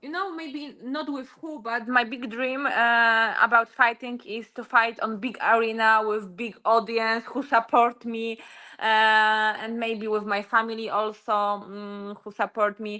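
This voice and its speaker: Over a quiet background, a woman with a Polish accent speaks fairly slowly at a fairly high pitch, her tone bright and sharp, her intonation fairly even and her loudness swinging widely. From Poland. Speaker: UFC fighter. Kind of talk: interview. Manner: halting.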